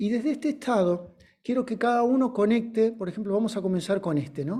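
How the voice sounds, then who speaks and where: This man's voice has a dark, mellow tone. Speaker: teacher of body phonology training. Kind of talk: lecture with guided exercise.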